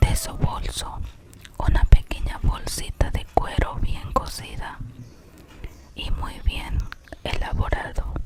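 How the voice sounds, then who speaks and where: A whisper at a very slow pace against noticeable background noise. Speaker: ASMR content creator and storyteller. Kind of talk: ASMR whispered story reading. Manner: whispered, soft, slow.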